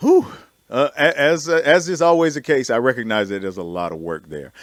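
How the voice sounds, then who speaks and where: At a fairly quick pace, a man of medium pitch with an American accent speaks with very wide pitch swings and big swings in loudness. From US South. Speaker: radio host. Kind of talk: panel discussion.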